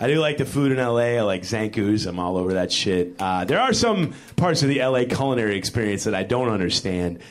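A man with an American accent and a fairly low pitch speaks at a fairly quick pace with lively intonation, hardly any pauses and very even loudness, amid audible room echo and noticeable background noise. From Chicago. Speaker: stand-up comedian. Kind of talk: stand-up. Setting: stage with audience.

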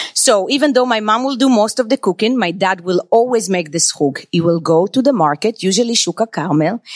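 In a normal speaking voice, a woman talks at a fairly quick pace with hardly any pauses, fairly high pitch, lively intonation and very even loudness. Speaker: chef and restaurant owner. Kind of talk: live storytelling and interview. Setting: stage with audience.

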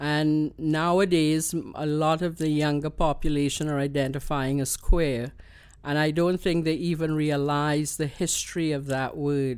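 A woman speaks with a Trinidadian accent in a very deep, low voice. Her intonation stays monotone and flat. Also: fairly slow pace. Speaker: queer elder, community activist. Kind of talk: interview. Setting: home studio. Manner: laughs often.

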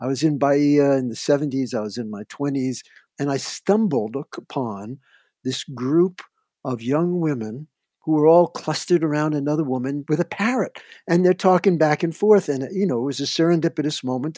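Heard over a quiet background, a man talks at a moderate pace with ordinary pitch variation. His fairly high voice has a dark, mellow tone. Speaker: nature sound recordist and radio producer. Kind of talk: interview.

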